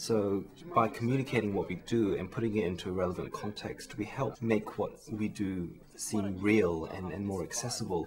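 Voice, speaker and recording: This man has a New Zealand accent. His pitch is fairly low. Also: ordinary pitch variation, moderate pace. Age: 20s. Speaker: research chemist, science communication contestant. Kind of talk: interview.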